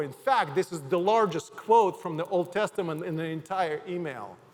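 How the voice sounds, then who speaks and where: Over noticeable background noise, a man with a Ukrainian accent speaks at a moderate pace in a high pitch with ordinary pitch variation. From Ukraine. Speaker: pastor. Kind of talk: sermon. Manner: halting.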